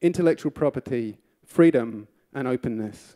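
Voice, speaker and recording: A man's voice has a dark, mellow tone. The sound is dry and close with no echo, on a very clean recording with a silent background. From Europe. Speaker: political candidate. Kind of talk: political speech.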